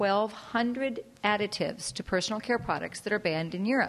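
Medium in pitch with ordinary pitch variation, a woman speaks in a normal speaking voice. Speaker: audience member. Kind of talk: audience question or comment. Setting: library talk with audience.

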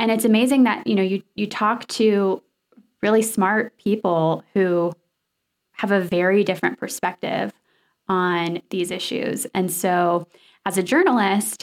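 At a fairly slow pace, a woman with an American accent talks in an unremarkable speaking voice at a medium pitch. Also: very clean recording, silent background. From US South, Nashville. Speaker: radio journalist. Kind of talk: interview.

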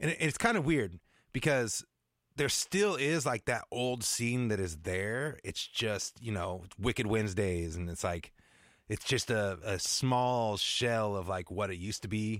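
A man's ordinary speaking voice with an American accent, fairly low pitch and lively intonation at a fairly slow pace, in a very clean recording over a silent background. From US Pacific Northwest, Seattle suburbs. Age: 40s. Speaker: music producer. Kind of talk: casual interview.

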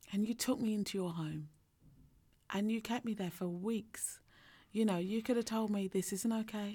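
A woman's dark, mellow, somewhat breathy voice at a moderate pace, with fairly even intonation and long, frequent pauses, on a very clean recording with a silent background. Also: medium pitch for a woman. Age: 40s. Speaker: leadership coach and podcast co-host. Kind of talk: casual chat.

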